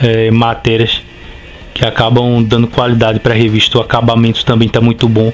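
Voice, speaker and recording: With a northeastern Brazilian accent, a man speaks at a moderate pace and a medium pitch. Noticeable background noise can be heard behind him. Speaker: comic book youtuber. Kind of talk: casual video review. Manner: conversational with hesitations.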